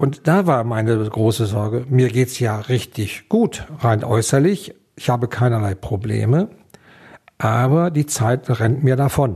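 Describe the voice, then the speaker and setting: A man's somewhat breathy, dark, mellow voice at medium pitch, fairly slow pace, ordinary pitch variation and very even loudness, over a quiet background. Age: 60s. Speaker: liver transplant recipient, retiree. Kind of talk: interview testimony.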